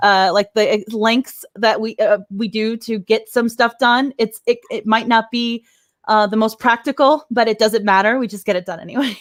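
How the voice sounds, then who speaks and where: Speaking at a moderate pace with a fairly high pitch, a woman uses an animated tone with a slight Texan accent. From Texas, Dallas-Fort Worth. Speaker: YouTuber and live-stream host. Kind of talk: casual live-stream chat. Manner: animated, halting with fillers.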